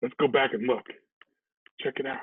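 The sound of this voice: At a moderate pace, a man talks in a medium pitch with a husky, rough edge. His intonation is fairly even.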